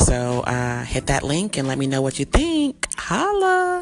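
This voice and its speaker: With music playing in the background, a woman speaks in a very deep, low pitch. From US, Panamanian family. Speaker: podcaster and entertainer. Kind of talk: casual monologue. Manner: animated.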